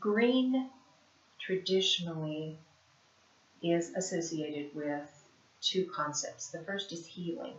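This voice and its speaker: With an Appalachian accent, a woman speaks at a fairly low pitch using lively intonation. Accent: Appalachian country. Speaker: spiritual life coach, card reader. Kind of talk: oracle card reading monologue. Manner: casual, with hesitations.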